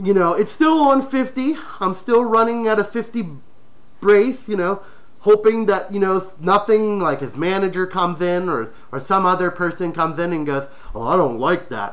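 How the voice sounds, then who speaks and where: Noticeable background noise accompanies speech that moves at a moderate pace. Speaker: furry talk show host. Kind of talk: personal storytelling. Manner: stutters.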